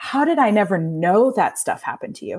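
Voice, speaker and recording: A Midwestern American accent at a moderate pace, full of very wide pitch swings. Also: woman. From US Midwest, Indiana. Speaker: nonprofit founder and CEO. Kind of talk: interview conversation.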